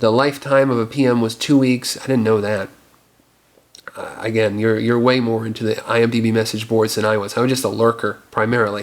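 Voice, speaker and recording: An ordinary speaking voice from a man, pitched in the medium range. He keeps a moderate pace with fairly even intonation. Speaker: filmmaker and video blogger. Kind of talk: casual rant video.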